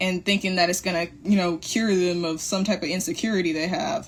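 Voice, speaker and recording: A somewhat breathy voice belongs to this woman. She talks at a fairly quick speed. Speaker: motivational live streamer. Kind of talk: motivational talk. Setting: livestream. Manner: fast.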